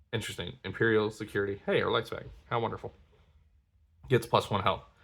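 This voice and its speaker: On a very clean recording with a silent background, a man talks at a fairly low pitch with fairly even intonation. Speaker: card game content creator. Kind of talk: product unboxing commentary. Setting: at home at night, others asleep.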